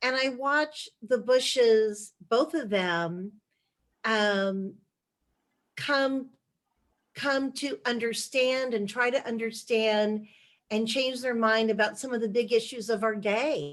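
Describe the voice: Speaking at a slow pace, a woman has a fairly high pitch. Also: ordinary pitch variation.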